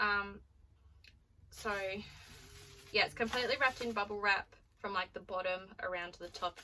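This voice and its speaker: A woman with an Australian accent speaks at medium pitch in a bright, sharp tone, with fairly even intonation, a fairly quick pace, big swings in loudness and long, frequent pauses. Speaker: vlogger. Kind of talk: casual vlog unboxing.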